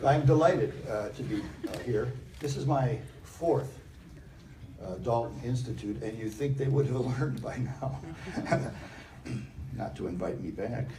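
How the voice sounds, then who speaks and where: Room echo is audible as a man speaks with an American accent. He leaves long, frequent pauses. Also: medium pitch for a man, ordinary pitch variation, moderate pace. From US Midwest, Chicago. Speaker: higher education scholar, keynote speaker. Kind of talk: keynote speech. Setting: stage with audience. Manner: loud.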